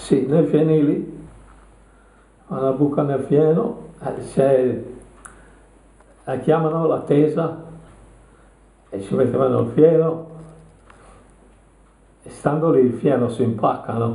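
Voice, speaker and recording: At a very slow pace, a man talks in a fairly high pitch with long, frequent pauses. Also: ordinary pitch variation. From Tuscany, Italy. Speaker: war veteran. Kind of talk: interview answer.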